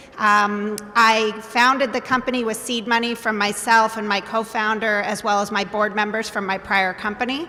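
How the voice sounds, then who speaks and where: A woman talks at a moderate pace with hardly any pauses in a fairly high pitch and monotone, flat intonation. Noticeable background noise runs underneath. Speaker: biotech company CEO. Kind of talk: panel discussion.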